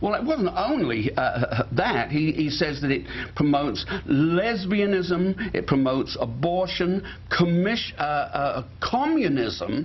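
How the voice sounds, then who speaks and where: Speaking at a high pitch with very wide pitch swings, a man keeps a very even loudness at a very slow pace. Noticeable background noise is present. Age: 70s. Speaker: talk show host. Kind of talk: casual chat. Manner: halting.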